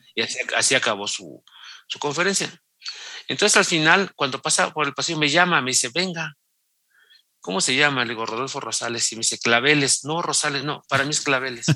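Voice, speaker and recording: A man with a fairly high pitch uses a normal speaking voice, moving at a fairly quick pace and varying his pitch in an ordinary way. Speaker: sports journalist. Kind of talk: interview.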